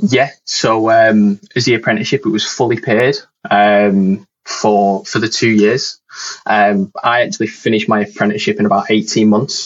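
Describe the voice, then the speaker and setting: A man's medium-pitched voice with a Lancashire accent, monotone and flat in intonation, at very even loudness. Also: moderate pace. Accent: northern English, Lancashire. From northern England. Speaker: network engineer. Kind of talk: casual chat, interview. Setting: video call.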